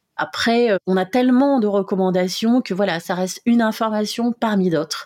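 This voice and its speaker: A woman speaks at a moderate pace with ordinary pitch variation in a dry, close sound with no echo. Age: 40s. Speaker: heart-lung transplant patient and association volunteer. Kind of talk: testimony. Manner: hesitant with fillers.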